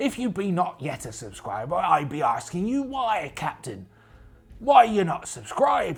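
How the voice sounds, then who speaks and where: Putting on a character voice, a man speaks high in pitch at a moderate pace. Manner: playful.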